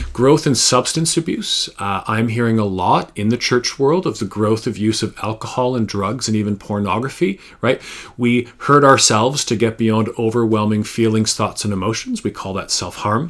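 This man has an ordinary speaking voice with a Canadian accent, a medium pitch, ordinary pitch variation and a moderate pace. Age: 40s. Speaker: public speaker, former teacher. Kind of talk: pre-recorded talk to a church. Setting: recorded video presentation.

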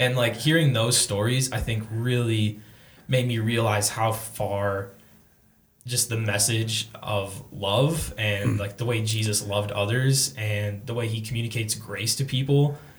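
A man speaks fairly slowly at a medium pitch. His voice is somewhat breathy, and his intonation stays fairly even. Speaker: college student. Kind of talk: casual chat.

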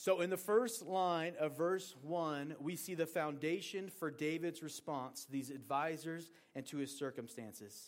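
A man with an American accent and an ordinary speaking voice talks at a fairly slow pace with hardly any pauses, fairly high pitch and ordinary pitch variation, on a very clean recording with a silent background. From Oregon, US Pacific Northwest. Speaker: pastor. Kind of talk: sermon.

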